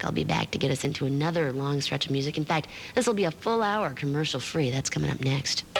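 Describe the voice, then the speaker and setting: A woman talks at a very fast pace in a very deep, low pitch, her intonation lively. Her loudness stays very even against noticeable background noise. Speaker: radio disc jockey. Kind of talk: radio DJ patter. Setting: radio broadcast studio. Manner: casual, friendly.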